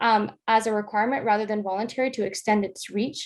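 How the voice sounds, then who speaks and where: Over a quiet background, a woman talks at a fairly quick pace. She has an American accent and a fairly high pitch. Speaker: honors student presenter. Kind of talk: research presentation. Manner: fast.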